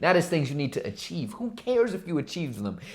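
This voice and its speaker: A man speaks in an animated tone with very wide pitch swings. His voice is somewhat breathy. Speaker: motivational youtuber. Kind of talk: motivational talk to camera. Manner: fast; animated, with fillers and repetitions.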